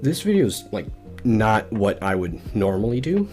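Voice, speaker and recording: A man talks with lively intonation at a moderate pace while music plays in the background. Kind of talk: casual gaming tutorial narration.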